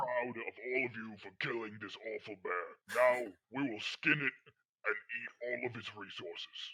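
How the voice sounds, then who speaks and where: Using a put-on character voice, a man talks at a moderate pace with his pitch in the medium range. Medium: actual play. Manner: formal, stilted, declarative.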